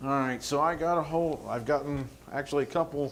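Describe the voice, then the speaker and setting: A man's fairly high voice at a moderate pace, with monotone, flat intonation. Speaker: township trustee. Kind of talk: public meeting report. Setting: township meeting room. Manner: loud.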